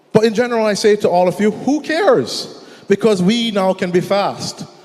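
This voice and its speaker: A man is speaking. Noticeable background noise runs beneath his voice. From Jamaica. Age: 20s. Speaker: entrepreneur, conference speaker. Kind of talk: conference presentation. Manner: fast.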